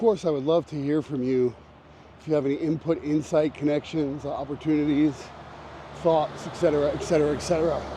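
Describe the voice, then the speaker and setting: Noticeable background noise sits behind a man who talks at a fairly quick pace, his fairly high pitch held in fairly even intonation. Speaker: photographer. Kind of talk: vlog monologue. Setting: outdoors, on a walk. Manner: whispering at times.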